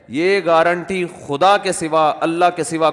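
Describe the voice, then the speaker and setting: A man's high voice holds fairly even intonation while noticeable background noise carries on behind him. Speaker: Islamic scholar (mufti) giving a religious talk. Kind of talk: religious lecture, answering a question.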